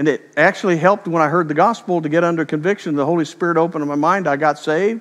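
A man speaks very fast in a high voice against a quiet background. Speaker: preacher. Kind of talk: sermon. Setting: church. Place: church. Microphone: headset.

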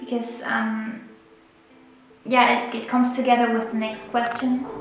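Over clear music in the background and audible room echo, a woman with a non-native accent talks at a fairly high pitch and a moderate pace. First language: not English. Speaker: photographer and illustrator. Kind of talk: casual talk to camera. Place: home room.

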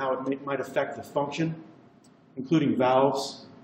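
A man talks at a very fast pace with a fairly high pitch and monotone, flat intonation. The recording has audible room echo and noticeable background noise. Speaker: cardiovascular radiologist. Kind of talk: lecture.

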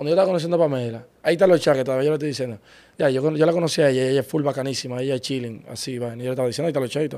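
A very fast-talking man with a fairly high pitch and a dark, mellow tone shows ordinary pitch variation. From Dominican Republic, Santo Domingo Este. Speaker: car rental business partner. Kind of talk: interview. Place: studio. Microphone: studio mic.

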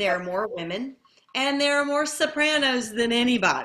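A woman's bright, sharp tone with lively intonation against a quiet background. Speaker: classical voice teacher; lyric soprano. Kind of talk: interview answer. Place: home room.

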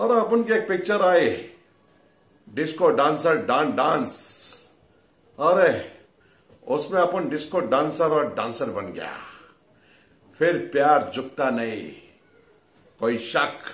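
With vocal fry and audible room echo, a man speaks at a very slow pace, leaving long, frequent pauses. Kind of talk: comic monologue in a mock interview. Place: home room. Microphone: phone near.

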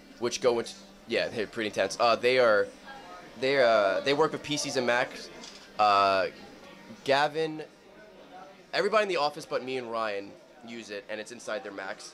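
Amid background music, a man speaks at a moderate pace with long, frequent pauses, ordinary pitch variation and big swings in loudness. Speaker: interviewee, video creator. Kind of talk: interview answer. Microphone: handheld.

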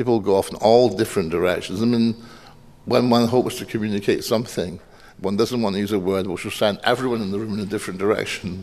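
The speaker has a Scottish accent and fairly even intonation. The pace is very fast. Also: man, fairly low pitch for a man. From Scotland. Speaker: poet giving a lecture; lecturer. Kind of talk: audience Q&A discussion; lecture. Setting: stage with audience. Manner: halting. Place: hall. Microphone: podium.

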